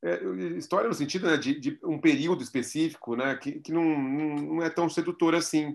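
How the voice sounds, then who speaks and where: A man at a fairly slow pace over a quiet background. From Brazil, São Paulo. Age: 40s. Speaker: art curator and philosophy professor; philosophy professor. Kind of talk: interview. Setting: video call. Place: home room. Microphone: video call.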